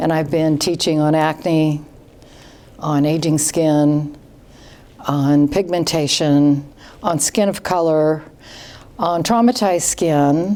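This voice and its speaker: A woman with a very deep, low pitch and a dark, mellow tone speaks at a very slow pace with ordinary pitch variation, very even loudness and long, frequent pauses. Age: old. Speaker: esthetician and skincare company founder. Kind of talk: interview.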